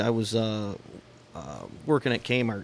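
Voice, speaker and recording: A man with a Michigan accent. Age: 40s. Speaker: podcast co-host, car enthusiast. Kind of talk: casual chat.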